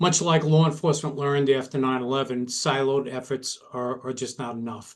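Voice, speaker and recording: With an American accent, a man speaks at a fairly quick pace in a medium pitch, his intonation fairly even. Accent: Brooklyn accent, somewhat diluted. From New York, Brooklyn. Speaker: retired police detective, security director. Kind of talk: webinar presentation. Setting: online webinar.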